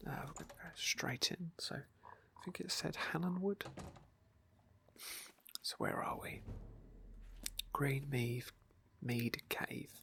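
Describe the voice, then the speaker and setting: A whispering woman at a very slow pace, with long, frequent pauses. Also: big swings in loudness. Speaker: ASMR gamer / roleplay streamer. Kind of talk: gameplay commentary, casual talk. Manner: soft, whispery.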